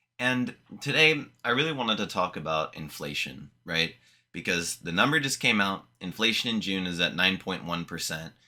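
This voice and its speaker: Over music in the background, a man with a very deep, low pitch talks at a moderate pace, his pitch swinging very widely. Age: 20s. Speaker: YouTuber. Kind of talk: casual vlog monologue. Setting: home room with window open. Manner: casual, filler-heavy.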